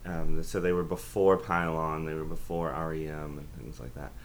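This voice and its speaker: In an American accent, a man speaks at a moderate pace with lively intonation and audible room echo. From US South, Aiken, South Carolina. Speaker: professor. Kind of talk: interview about academic topic.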